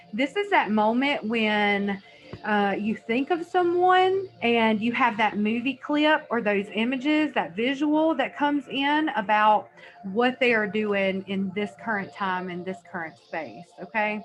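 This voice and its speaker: A woman speaks with lively intonation. Noticeable background noise runs underneath. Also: fairly slow pace. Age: 30s. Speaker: energy healer and psychic. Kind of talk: informal talk to camera. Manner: casual, conversational with fillers.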